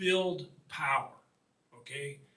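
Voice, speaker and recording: With a Midwestern US accent, a man speaks in a high voice with ordinary pitch variation, and room echo is audible. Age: 60s. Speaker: author and water quality advocate. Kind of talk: public talk.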